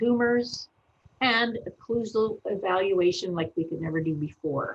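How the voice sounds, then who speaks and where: Somewhat breathy and at a medium pitch, a woman speaks at a fairly slow pace with lively intonation. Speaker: veterinarian. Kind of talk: webinar presentation. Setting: online webinar.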